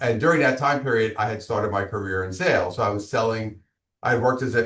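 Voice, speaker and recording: A man talks with a Brooklyn accent at a fairly low pitch. The background is quiet. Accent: Brooklyn New York. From Brooklyn, New York. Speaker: business coach and author. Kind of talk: interview.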